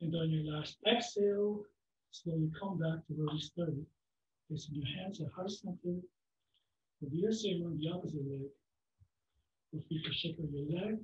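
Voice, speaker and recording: A man with a high pitch speaks at a moderate pace and ordinary pitch variation. Long, frequent pauses break his speech, and audible room echo is present. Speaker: yoga instructor. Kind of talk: guided yoga class with step-by-step pose and breath cues. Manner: steady instructive pacing, gentle imperatives. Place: home room. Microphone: camera far.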